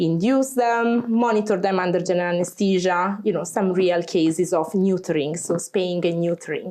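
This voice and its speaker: A woman with a strong Italian accent speaks at a moderate pace and medium pitch, with hardly any pauses. Her intonation is fairly even and her loudness very even. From Italy. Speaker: veterinarian. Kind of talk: interview. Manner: chatty.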